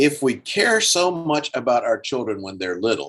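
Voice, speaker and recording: With lively intonation and an ordinary speaking voice, a man keeps a moderate pace. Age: 60s. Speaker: estate planning attorney. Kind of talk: webinar talk. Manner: casual.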